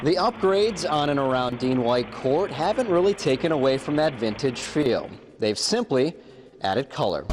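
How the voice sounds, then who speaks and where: Over noticeable background noise, a man with a fairly high pitch keeps a very even loudness while his pitch swings very widely. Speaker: sports TV journalist and anchor. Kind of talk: sports news anchor read, upbeat and fast-paced broadcast delivery.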